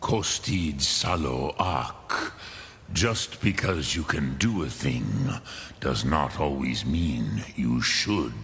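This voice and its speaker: A man uses a put-on character voice with a very deep, low pitch. He speaks at a very slow pace over clear background noise. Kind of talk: epic fantasy game dialogue. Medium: video game. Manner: slow, measured, sprinkling dragon-tongue words.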